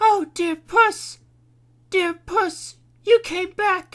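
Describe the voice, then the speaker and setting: This put-on character voice is squeaky and pitched extremely high. It moves at a very slow pace. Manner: emotional, relieved.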